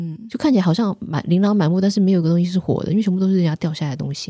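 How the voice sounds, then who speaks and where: A woman talks at a very fast pace in a fairly low, somewhat breathy voice with a dark, mellow tone, recorded very cleanly against a silent background with a dry, close sound and no echo. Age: 50s. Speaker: spiritual author and teacher. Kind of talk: interview.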